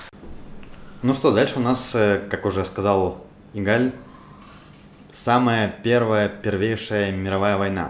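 Speaking at a very slow pace with long, frequent pauses, a man with a fairly low pitch keeps his intonation fairly even amid audible room echo. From Russia, Moscow. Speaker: podcast host. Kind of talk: casual discussion.

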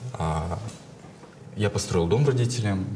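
Noticeable background noise and audible room echo behind speech at a moderate pace. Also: man. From Kazakhstan, Karaganda. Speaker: documentary film director. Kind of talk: casual chat.

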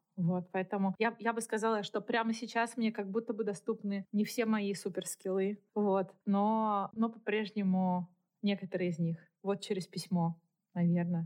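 Speaking at a fairly slow pace, a woman keeps a medium pitch, fairly even intonation and very even loudness. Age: 40s. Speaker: author and podcaster. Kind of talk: interview conversation. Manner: hesitant fillers.

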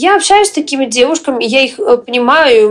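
Lively intonation marks this woman's high-pitched speech. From Western Ukraine. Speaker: entrepreneur and blogger. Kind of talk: interview. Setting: video call. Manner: energetic.

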